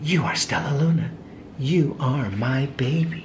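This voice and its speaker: Whispering in a put-on character voice, a man speaks at a fairly slow pace over clear background noise. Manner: whispering, tender.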